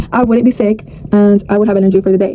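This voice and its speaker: A woman talks in a fairly high pitch with fairly even intonation. Background noise is noticeable. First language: not English. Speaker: vlogger. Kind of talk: casual vlog monologue.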